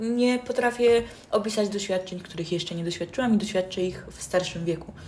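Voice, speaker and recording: Here a woman speaks at a very fast pace. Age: young. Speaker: podcast host. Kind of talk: casual chat. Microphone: poor built-in mic, low quality.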